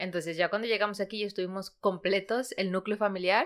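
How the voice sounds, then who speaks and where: A woman with a plain, everyday voice speaks at a medium pitch. She talks fairly quickly with fairly even intonation. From Ecuador, raised in Madrid from age 8. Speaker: podcast co-host. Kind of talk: casual chat.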